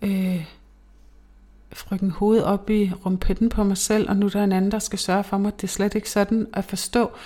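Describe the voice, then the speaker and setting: Speaking at a moderate pace, a woman uses a monotone, flat intonation in a medium pitch, her voice somewhat breathy with a dark, mellow tone. The recording is very clean, and the background is silent. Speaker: podcast host. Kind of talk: casual monologue. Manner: halting.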